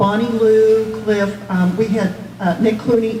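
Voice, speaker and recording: Over noticeable background noise and audible room echo, a woman speaks with fairly even intonation. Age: 60s. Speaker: retired senior services worker. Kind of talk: audience remarks.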